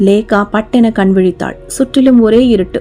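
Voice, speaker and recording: Music plays in the background as a woman speaks. Her pitch is fairly high and her intonation fairly even. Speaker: author and narrator. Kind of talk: horror audiobook narration.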